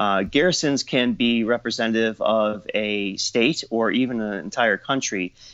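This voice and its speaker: A man talks at a moderate pace and a medium pitch, with ordinary pitch variation and hardly any pauses. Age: 40s. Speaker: documentary filmmaker and costumer. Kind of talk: casual interview. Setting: studio. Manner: halting, many fillers.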